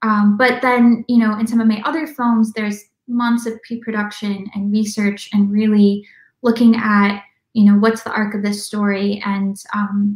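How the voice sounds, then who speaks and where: Somewhat breathy and monotone, with flat intonation, the voice moves at a moderate pace amid audible room echo over a quiet background. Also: woman. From Minnesota, US Midwest. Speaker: documentary filmmaker; guest. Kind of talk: interview. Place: home room. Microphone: video call.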